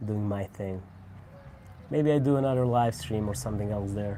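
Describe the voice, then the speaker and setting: Here a man speaks with a Croatian accent, at a fairly low pitch with ordinary pitch variation. His tone is dark and mellow. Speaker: cigar reviewer. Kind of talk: casual live stream chat. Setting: at home.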